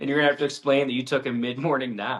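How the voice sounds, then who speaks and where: This is a man speaking at a medium pitch. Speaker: podcast co-host, father. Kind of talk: casual chat. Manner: animated.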